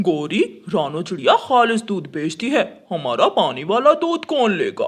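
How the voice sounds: Putting on a cartoonish character voice, a man speaks at a high pitch and a fairly slow pace.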